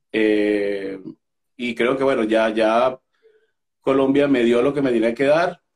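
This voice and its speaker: The speech moves at a very slow pace with long, frequent pauses. Its pitch varies in an ordinary way. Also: man, medium pitch for a man. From Venezuela. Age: 30s. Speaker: opera singer. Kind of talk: interview.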